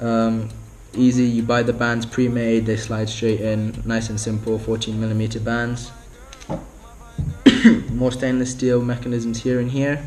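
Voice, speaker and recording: Against noticeable background noise, a man speaks at a medium pitch in a flat monotone, at a fairly slow pace with long, frequent pauses. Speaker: spearfisher. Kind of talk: product review talk to camera.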